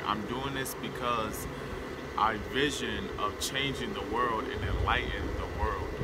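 Loud background noise runs beneath a man speaking at a fairly slow pace. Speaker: aspiring activist vlogger. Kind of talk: personal monologue to camera. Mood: earnest, calm, determined. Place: open country.

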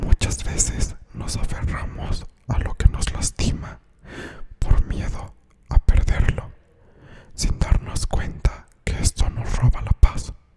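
With long, frequent pauses, the whispering unfolds at a very slow pace. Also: man. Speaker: ASMR content creator. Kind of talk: ASMR quote reading to camera. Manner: soft-spoken, whispery. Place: home room. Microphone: studio mic.

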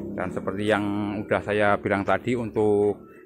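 A man's fairly low voice comes at a moderate pace in a dry recording with no echo and light background noise. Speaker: goat farming video host. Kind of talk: on-site farm visit interview. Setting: outdoors at a goat pen. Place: farm machine. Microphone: phone near.

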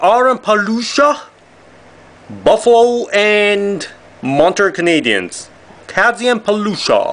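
A man's high-pitched voice with a Japanese accent. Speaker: trading card box break youtuber. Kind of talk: card unboxing commentary. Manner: animated. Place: home room. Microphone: camera far.

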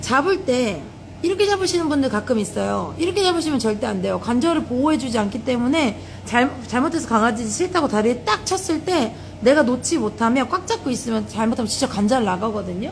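Against light background noise, a woman with a high pitch speaks at a fairly quick pace. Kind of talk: tutorial. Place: shop.

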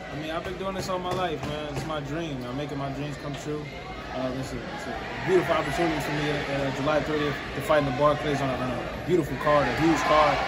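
A man rattles off his words at a very fast pace through loud background noise. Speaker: boxer. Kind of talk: interview. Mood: relaxed, confident. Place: hall.

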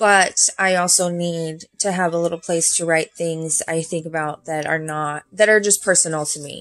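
A woman's fairly low-pitched voice at a moderate pace, monotone and flat, with hardly any pauses. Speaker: planner hobby vlogger. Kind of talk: casual vlog walkthrough. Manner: halting, many fillers. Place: home room. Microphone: phone near.

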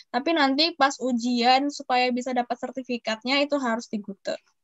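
This woman speaks at a very fast pace with a high pitch. The background is quiet. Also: dry sound with no echo. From Padang, West Sumatra, Indonesia; West Sumatra, Indonesia. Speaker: university student; guest. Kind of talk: webinar talk and Q&A. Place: home room. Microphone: video call.

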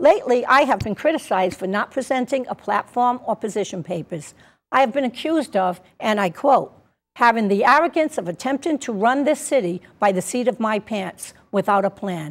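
A woman talks at a moderate pace. Very wide swings run through her pitch. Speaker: candidate. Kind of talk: campaign statement. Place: studio.

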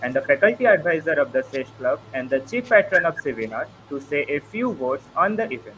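Against light background noise, a man talks at a fairly quick pace with very wide pitch swings. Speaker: student moderator. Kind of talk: formal event moderation. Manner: formal. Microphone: video call.

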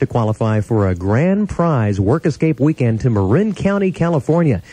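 An American-accented man speaks at a moderate pace and medium pitch in a dark, mellow, somewhat breathy tone. His pitch swings very widely while his loudness stays very even, and the sound is dry with no echo. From Las Vegas, USA. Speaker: radio announcer. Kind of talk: radio station aircheck, on-air announcer patter. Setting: radio broadcast. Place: studio. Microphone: studio mic.

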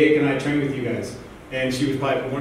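Speaking at a very fast pace, a man is heard with strong room echo and light background noise. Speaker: guest, soccer coach. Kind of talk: motivational speech. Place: hall. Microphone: camera far.

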